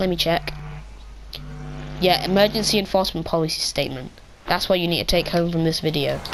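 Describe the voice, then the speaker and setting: A woman talks at a fairly quick pace in a fairly low pitch with fairly even intonation. Long, frequent pauses break her speech amid noticeable background noise. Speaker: YouTuber explaining policy. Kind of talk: explainer video. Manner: monotone; casual, filler-heavy.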